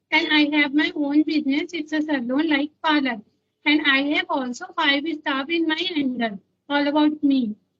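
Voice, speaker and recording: A woman speaks at a moderate pace in a high pitch with fairly even intonation. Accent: Indian. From India, Chhattisgarh. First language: Hindi or regional Indian language. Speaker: salon owner and YouTuber. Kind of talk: casual chat.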